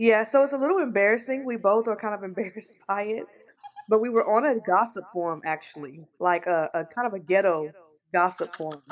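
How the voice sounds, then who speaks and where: Fairly quick and lively in intonation, a woman with an American accent speaks at medium pitch. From Kansas, US. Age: 40s. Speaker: mental health caseworker, co-host. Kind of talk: casual podcast chat, personal testimony.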